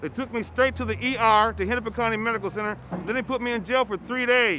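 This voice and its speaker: Speaking with an American accent, this man has a high pitch and a bright, sharp tone. His voice is raised and projected. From Minnesota. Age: 60s. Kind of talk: street interview testimony. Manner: halting.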